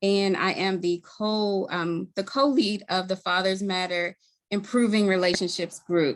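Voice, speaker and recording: A woman with a Baltimore accent talks at a fairly slow pace and medium pitch, with ordinary pitch variation. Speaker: community health worker, group co-lead. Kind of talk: event introduction.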